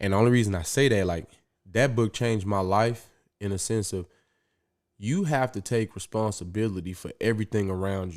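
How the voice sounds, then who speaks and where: Animated male voice, fairly low-pitched, with ordinary pitch variation and a fairly quick pace, on a very clean recording with a silent background. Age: 30s. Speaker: podcaster and Marine officer candidate. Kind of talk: podcast interview.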